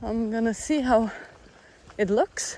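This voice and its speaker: A fairly slow pace in a Czech accent. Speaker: long-distance hiker vlogger. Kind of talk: casual vlog narration. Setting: hiking shelter; outdoors.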